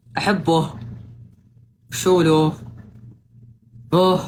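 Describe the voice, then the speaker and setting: A woman with a Saudi accent is heard over noticeable background noise, with audible room echo. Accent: Saudi Arabic with slight Qassimi touch. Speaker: social media streamer. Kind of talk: casual livestream chat. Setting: livestream.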